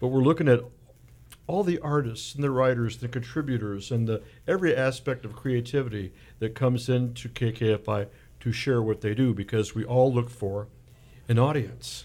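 A man's unremarkable speaking voice at medium pitch, with ordinary pitch variation. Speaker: guest host, fundraising volunteer. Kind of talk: pledge drive pitch, radio banter. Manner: jokey, upbeat.

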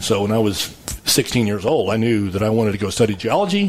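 A man with a Texan accent talks in a fairly low pitch against noticeable background noise. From West Texas, Abilene. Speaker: geologist, oil wildcatter and winery owner. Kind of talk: casual interview.

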